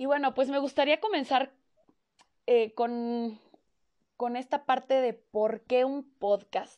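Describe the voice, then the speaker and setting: A woman with a Mexican accent speaks very slowly at a high pitch, with ordinary pitch variation and long, frequent pauses. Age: 20s. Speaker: podcast host. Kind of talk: casual monologue.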